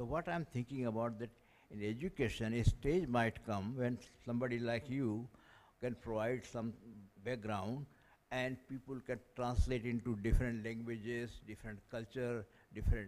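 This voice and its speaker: A man with an Indian accent talks at a medium pitch and a moderate pace, with fairly even intonation. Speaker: audience member asking a question. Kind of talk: Q&A question from the floor.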